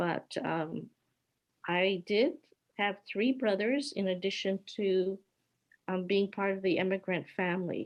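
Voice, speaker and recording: Speaking at a fairly slow pace with long, frequent pauses, a woman with a Hawaiian accent uses a medium pitch and ordinary pitch variation. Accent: American, Hawaii-raised. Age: 70s. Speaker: peace activist. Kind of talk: personal testimony with slides.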